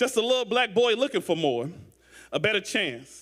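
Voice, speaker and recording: A man with a high pitch talks in a St. Louis accent. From St. Louis, Missouri. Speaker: spoken word poet. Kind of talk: poetry performance.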